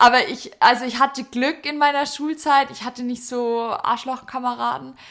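A woman speaks at a moderate pace in a Bavarian accent, her pitch high and her intonation fairly even. Her loudness swings widely. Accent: Bavarian, pronounces sharp S. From Bavaria, Germany. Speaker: podcast co-host. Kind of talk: casual chat. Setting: sitting on the floor at home.

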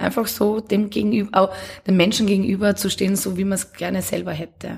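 Medium pitch carries this woman's voice. It sounds somewhat breathy. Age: 30s. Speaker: café and bar owner. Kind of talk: casual interview.

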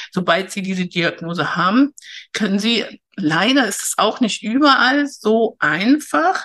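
A woman talks at a fairly slow pace in a bright, sharp tone. Her pitch varies in an ordinary way. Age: 60s. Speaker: learning coach. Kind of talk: interview.

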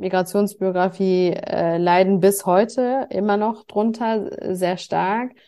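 With a dark, mellow tone and medium pitch, a woman speaks in a monotone, flat intonation on a very clean recording with a silent background. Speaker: nonprofit staff member. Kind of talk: interview. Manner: hesitant, many fillers.

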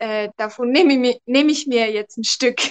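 A woman talks at a moderate pace with a high pitch and ordinary pitch variation. Her tone is bright and sharp, and the sound is dry and close with no echo. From Switzerland. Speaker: photographer. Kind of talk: interview testimony. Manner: hesitant with many fillers.

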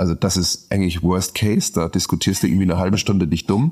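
Fairly even intonation from a man with a very deep, low pitch. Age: 30s. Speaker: brewer. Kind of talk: casual chat.

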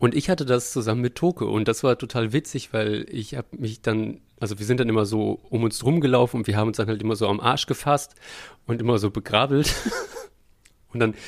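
A man with a normal speaking voice talks at a fairly quick pace, a medium pitch and ordinary pitch variation in a very clean recording with a silent background. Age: 30s. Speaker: puppeteer and podcast co-host. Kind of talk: casual chat.

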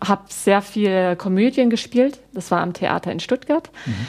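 A woman speaks with ordinary pitch variation. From Baden, southwest Germany. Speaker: parish pastoral worker and former actress. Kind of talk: interview. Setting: TV studio. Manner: hesitant, frequent fillers.

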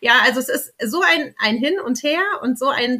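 The voice is raised and projected, with a bright, sharp tone. Its intonation is lively. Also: woman. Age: 30s. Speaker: babywearing consultant. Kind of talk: interview.

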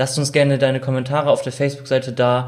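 With an ordinary speaking voice, a man of medium pitch speaks at a fairly quick pace. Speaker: intern interviewer. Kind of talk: interview.

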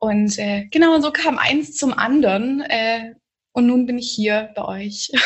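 This woman has a plain, everyday voice, fairly high in pitch, with lively intonation at a fairly slow pace. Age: 20s. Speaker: yoga teacher. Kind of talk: interview conversation.

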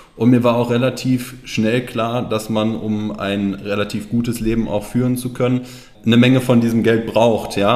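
Amid audible room echo, a man with a medium-pitched voice speaks at a moderate pace in a monotone, flat intonation. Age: 30s. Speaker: financial planner. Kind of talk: interview.

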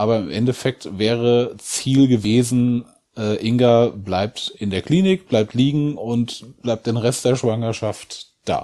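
A man with a medium pitch and a dark, mellow tone speaks at a very slow pace. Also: ordinary pitch variation. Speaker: bereaved father. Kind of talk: personal testimony in interview.

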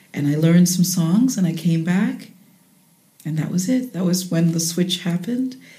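A woman's fairly low, somewhat breathy voice, dark and mellow, at a moderate pace with ordinary pitch variation and audible room echo. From Jamaica, later raised in the United States. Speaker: jazz singer and voice teacher. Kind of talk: interview.

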